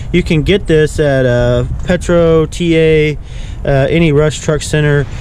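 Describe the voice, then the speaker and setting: Over noticeable background noise, a man speaks at a fairly slow pace with fairly high pitch. His intonation is monotone and flat, and his loudness stays very even. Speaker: truck driver. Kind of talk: tutorial. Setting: outdoors.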